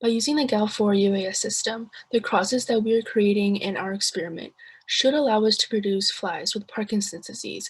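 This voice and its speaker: Somewhat breathy, a woman talks at a fairly high pitch and a fairly quick pace. Her intonation stays fairly even. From US Midwest, Ohio. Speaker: student. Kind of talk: class presentation.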